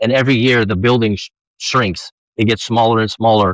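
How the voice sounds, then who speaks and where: A man speaks at a fairly quick pace with fairly even intonation. The sound is dry and close, with no echo, in a very clean recording with a silent background. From South Sacramento, California (immigrated from Romania as a child). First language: Romanian. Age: 40s. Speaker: fitness coach, former prisoner. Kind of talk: podcast interview.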